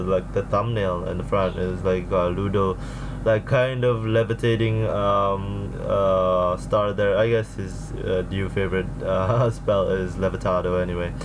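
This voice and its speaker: Noticeable background noise surrounds the man, whose pace is fairly slow. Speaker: reaction video host. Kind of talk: casual vlog chat. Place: home room.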